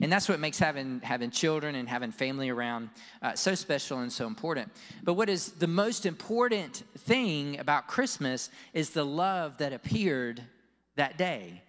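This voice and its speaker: With a Southern US accent, a man talks at a moderate pace and a fairly high pitch. His pitch swings very widely against a quiet background. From Florida. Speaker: pastor. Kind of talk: sermon. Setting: church. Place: church. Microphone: handheld.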